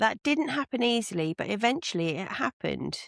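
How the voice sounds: Natural-sounding read speech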